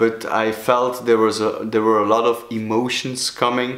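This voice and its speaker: A man with a Flemish accent speaks in a medium pitch at a fairly slow pace. Audible room echo surrounds his voice. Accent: Belgian Dutch (Flemish) accent in English. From Belgium (Flemish). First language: Dutch. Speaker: sobriety coach, video blogger. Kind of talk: personal vlog talk. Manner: halting, many fillers.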